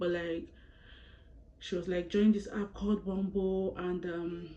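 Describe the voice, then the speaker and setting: A woman with a fairly low-pitched voice. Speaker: YouTuber. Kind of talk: storytime vlog. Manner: fast; animated.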